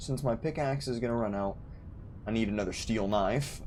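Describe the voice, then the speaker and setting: Over music in the background and audible room echo, a man talks at a fairly low pitch and moderate pace with ordinary pitch variation. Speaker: gaming streamer. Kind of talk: casual live-stream commentary. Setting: live stream. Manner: mumbling when relaxed.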